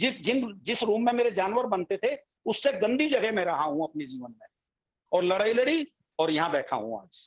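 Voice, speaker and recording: A man talks with a high pitch and an animated tone. His pitch swings very widely and his loudness rises and falls sharply. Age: 60s. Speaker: financial expert. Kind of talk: panel discussion. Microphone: voice breaking up on the line.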